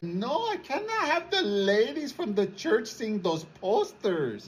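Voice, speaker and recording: A female-sounding put-on character voice, fairly high in pitch, at a fairly slow pace. Light background noise can be heard. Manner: disapproving.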